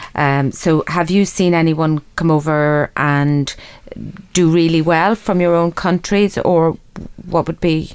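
A woman with an Irish accent and a very deep, low pitch. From Ireland. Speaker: radio host. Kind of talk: interview. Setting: studio.

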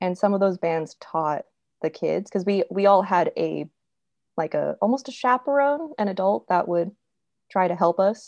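A woman with a General American accent talks in a normal speaking voice at medium pitch, with lively intonation and a moderate pace. The sound is dry and close with no echo, over a quiet background. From California. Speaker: sound designer and podcast host. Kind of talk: casual chat.

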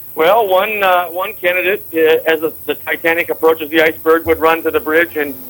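A man talks at a fairly quick pace in a plain, everyday voice, fairly high-pitched, with fairly even intonation. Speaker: political candidate.

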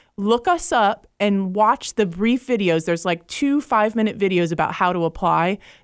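A normal speaking voice with an American accent, lively intonation and very even loudness, at a moderate pace with hardly any pauses, dry and close with no echo, on a very clean recording with a silent background. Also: woman, medium pitch for a woman. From Jacksonville, Florida. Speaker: education nonprofit director. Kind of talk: radio interview.

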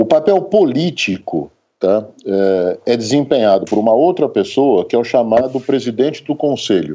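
A man speaks at a moderate pace in a medium pitch, keeping very even loudness. His pitch swings very widely. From interior of São Paulo state, Brazil. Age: 60s. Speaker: psychiatry professor. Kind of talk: interview. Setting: remote recording.

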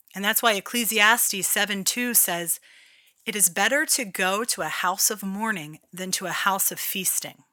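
The delivery keeps a moderate pace with ordinary pitch variation. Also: woman, medium pitch for a woman. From Philadelphia, US. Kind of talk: devotional talk with prayer.

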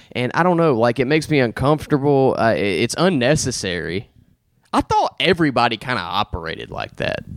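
A man with a Southern US accent talks at a fairly quick pace and medium pitch. His voice shows vocal fry and very wide pitch swings. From Alabama. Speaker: podcast host. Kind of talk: casual chat.

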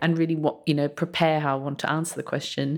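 A woman speaks in an Australian accent with a very deep, low pitch. Her intonation is monotone and flat. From Australia, outback mining town. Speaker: journalist and writer, essay prize winner. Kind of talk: interview. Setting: on location in a college.

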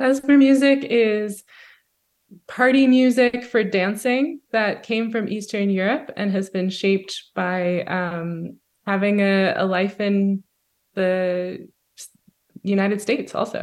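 Very slowly and with an American accent, a woman of medium pitch speaks on a very clean recording with a silent background. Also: ordinary pitch variation. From US Northeast. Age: 30s. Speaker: singer-songwriter and klezmer musician. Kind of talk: interview.

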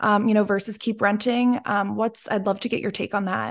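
With an American accent, a woman speaks in an ordinary speaking voice at a fairly high pitch with ordinary pitch variation against a quiet background. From Pennsylvania. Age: 20s. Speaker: podcast host. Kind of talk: interview.

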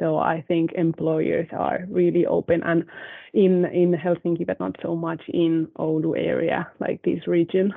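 Fairly slow speech from a woman with a Spanish accent. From Spain. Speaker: university HR staff. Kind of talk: casual chat. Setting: video call.

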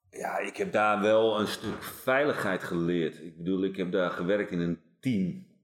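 Moderate pace and ordinary pitch variation. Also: man. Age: 40s. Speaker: police team leader and performance coach. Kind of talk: casual chat. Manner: halting.

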